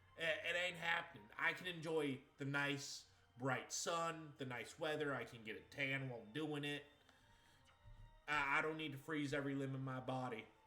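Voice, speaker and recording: A man with an American accent speaks at a moderate pace in a fairly high pitch, leaving long, frequent pauses, with audible echo in the room. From Maine, US. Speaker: video game streamer. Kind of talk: casual chat. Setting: live stream. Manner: animated.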